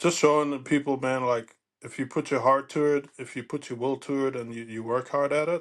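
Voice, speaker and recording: Fairly even intonation from a man at a moderate pace, against a quiet background. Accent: German. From Germany. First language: German. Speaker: former pro baseball player. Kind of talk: casual interview chat.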